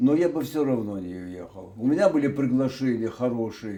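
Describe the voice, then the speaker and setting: A man speaks in a dark, mellow tone. His intonation is lively. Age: 80s+. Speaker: retired TV announcer. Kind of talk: interview. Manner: halting, with many hesitations.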